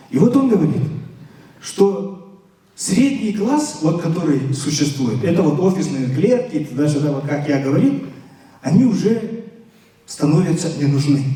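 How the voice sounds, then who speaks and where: Amid noticeable background noise and audible room echo, a man with a fairly high pitch speaks at a fairly slow pace with long, frequent pauses and very wide pitch swings. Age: 60s. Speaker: lecturer. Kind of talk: lecture to students. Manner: hesitant, many filler sounds.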